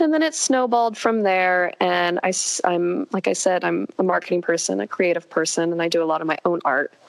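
A woman with an American accent talks at a fairly quick pace with very even loudness over noticeable background noise. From California. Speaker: equestrian social media creator. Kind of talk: casual interview chat.

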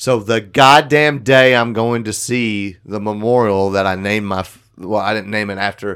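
The speaker has an ordinary speaking voice with fairly even intonation and a fairly slow pace. The recording is very clean, with a silent background. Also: man. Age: 30s. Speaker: podcast co-host. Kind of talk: casual chat.

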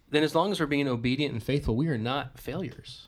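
With an unremarkable speaking voice, a man with an American accent talks at a fairly high pitch with ordinary pitch variation on a very clean recording with a silent background. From Western New York, US. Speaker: pastor podcast host. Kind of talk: casual chat. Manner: joking, laughs a lot.

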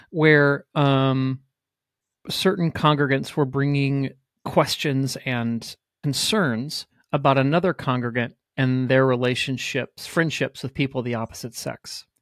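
A normal speaking voice from a man at medium pitch, fairly slow with fairly even intonation, dry and close with no echo on a very clean recording with a silent background. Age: 40s. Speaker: pastor. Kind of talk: casual chat.

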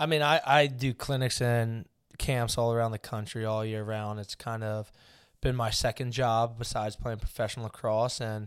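In a plain, everyday voice, a man with an American accent speaks at a moderate pace and medium pitch, his intonation fairly even, on a very clean recording with a silent background. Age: 20s. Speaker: professional lacrosse player. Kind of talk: interview.

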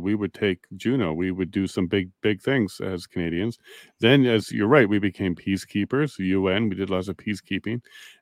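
With an ordinary speaking voice, a man speaks at a moderate pace and a fairly low pitch, his pitch varying in an ordinary way. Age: 40s. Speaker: podcast host. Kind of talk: interview.

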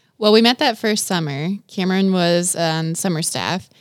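A woman with a plain, everyday voice speaks at a fairly low pitch, using ordinary pitch variation. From Wisconsin. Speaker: youth and children's ministry coordinator. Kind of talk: interview. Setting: studio.

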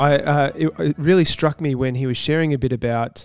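A man talks at a moderate pace with ordinary pitch variation in a normal speaking voice. The sound is dry and close, with no echo. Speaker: roundtable host. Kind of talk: moderated panel discussion.

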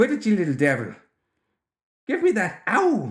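A man performs a high-pitched put-on character voice at a fairly slow pace with very wide pitch swings, in a very clean recording with a silent background.

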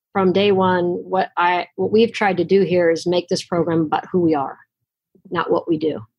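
A woman at a medium pitch with an American accent, speaking at a moderate pace. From Los Angeles, US. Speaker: college basketball coach. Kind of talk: interview.

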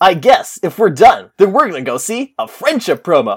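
Using a put-on character voice with an upbeat tone, a woman speaks at a medium pitch. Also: moderate pace. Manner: cheeky, upbeat.

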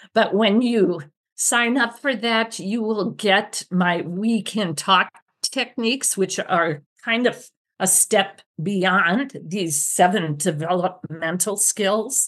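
A very slow pace over a quiet background. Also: woman, medium pitch for a woman, ordinary pitch variation. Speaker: retired speech-language pathologist. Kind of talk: interview.

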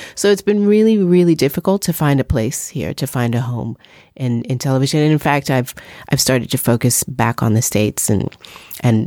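With a New York accent, the speaker's dark, mellow voice moves through very wide pitch swings at a moderate pace on a very clean recording with a silent background and dry, close sound with no echo. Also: woman. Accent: New York American. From US, New York. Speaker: journalist and filmmaker. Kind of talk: interview.

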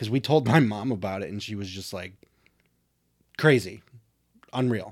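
With an ordinary speaking voice, a man talks at a moderate pace and a fairly low pitch, showing ordinary pitch variation and big swings in loudness. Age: 40s. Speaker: podcast co-host. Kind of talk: casual chat.

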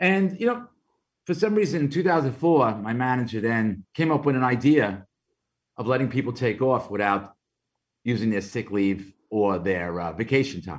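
A man talks at a moderate pace in a Brooklyn accent, his medium pitch making very wide swings. The background is quiet. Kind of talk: interview testimony. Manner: conversational, frequent fillers.

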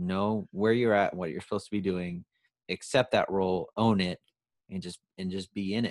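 A man with an ordinary speaking voice and fairly low pitch talks at a moderate pace with fairly even intonation, the sound dry and close with no echo. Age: 30s. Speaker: podcast guest. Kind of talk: casual chat.

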